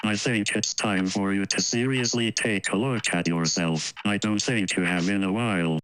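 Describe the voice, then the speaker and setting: A man's put-on character voice at a fairly low pitch. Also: moderate pace. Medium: read story.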